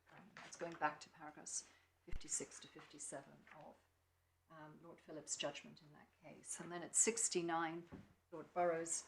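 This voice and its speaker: Someone with an English accent speaks at a moderate pace, with big swings in loudness. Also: woman. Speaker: barrister. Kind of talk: courtroom legal argument. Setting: courtroom.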